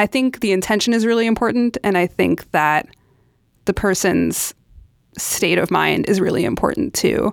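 A woman with an American accent and vocal fry, lively intonation, very even loudness and a moderate pace, on a very clean recording with a silent background. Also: medium pitch for a woman, dry, close sound with no echo. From New York City. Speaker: podcast curator and club chapter leader. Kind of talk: casual chat.

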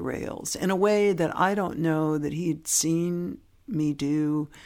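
Over a very clean recording with a silent background, a woman with an American accent and a fairly low pitch speaks at a very slow pace with ordinary pitch variation. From US West Coast, San Francisco Bay Area. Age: 60s. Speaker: interview guest. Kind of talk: casual interview conversation.

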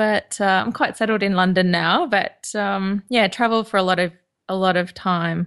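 This woman has an Australian accent. Her intonation is fairly even against a quiet background. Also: medium pitch for a woman, moderate pace. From Queensland, Australia. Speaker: knitwear designer and podcaster. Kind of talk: casual interview chat.

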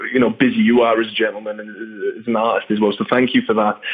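Music plays in the background as a man with a medium pitch talks. His pace is very fast and his intonation fairly even. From northeast England. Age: 20s. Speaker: drummer and drumstick company founder. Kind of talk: casual interview.

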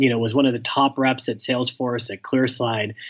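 A man with a medium pitch keeps his speech moving at a fairly quick pace. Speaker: startup founder and sales leader. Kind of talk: interview. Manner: fast talker; animated, hops between topics.

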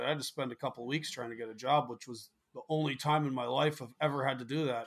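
In a very clean recording with a silent background, a man with a Canadian accent talks at a very fast pace in a medium-pitched voice. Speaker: truck driver and podcaster. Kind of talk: casual chat.

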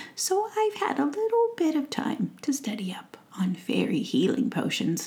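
A woman puts on a squeaky character voice. It sits high in pitch and moves at a moderate pace. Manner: tender, motherly.

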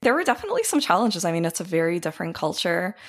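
With a Canadian accent, a woman speaks at a fairly low pitch. Vocal fry runs through her voice. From Ukraine, then Canada from age eight. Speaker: community organizer and businesswoman. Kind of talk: interview.

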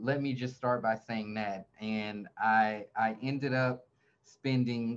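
This man has an unremarkable speaking voice at a medium pitch. His intonation stays fairly even. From US South, Atlanta, Georgia. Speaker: real estate team leader and YouTuber. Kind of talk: interview, casual chat.

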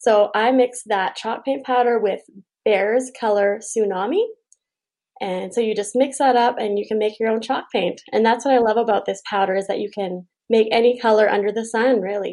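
Talking at a moderate pace, a woman uses a fairly high pitch. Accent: Canadian prairie. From Saskatchewan, Canada. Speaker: furniture refinisher. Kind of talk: interview. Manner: animated.

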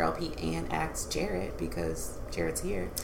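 Speaking at a fairly slow pace, a woman is heard with audible room echo and noticeable background noise. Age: 30s. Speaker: podcast host, licensed counselor. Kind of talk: casual chat.

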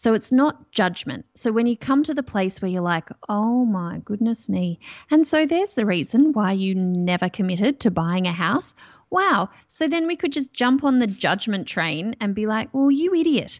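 In an Australian accent, a woman speaks at a moderate pace. Her pitch swings very widely. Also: fairly high pitch for a woman. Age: 40s. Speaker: mindset coach. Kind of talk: interview podcast.

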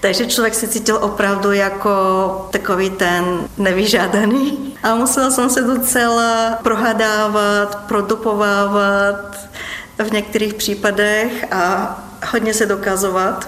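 A voice with a Bulgarian accent, very slow and monotone with flat intonation, very even in loudness, with audible room echo and noticeable background noise. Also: woman, medium pitch for a woman. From Ruse, Bulgaria. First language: Bulgarian (speaking Czech). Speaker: doctor. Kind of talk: interview.

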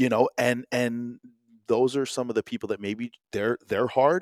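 Recorded very cleanly against a silent background, a normal speaking voice with an American accent moves at a moderate pace. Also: man, dry, close sound with no echo. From New Jersey, US. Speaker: entrepreneur. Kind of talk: casual chat.

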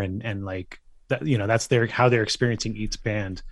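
A man with a Californian accent speaks with fairly even intonation. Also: quiet background. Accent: Californian American. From US West Coast, San Francisco Bay Area. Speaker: music journalist and author. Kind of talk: casual interview.

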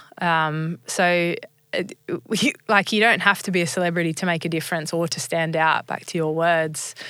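Speaking with an Australian accent, a woman has a fairly low pitch and a bright, sharp tone. Her pace is moderate and her intonation fairly even. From Australia (rural New South Wales, then Sydney). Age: 30s. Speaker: former professional cricketer and motivational speaker. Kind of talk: interview, personal story. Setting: studio.

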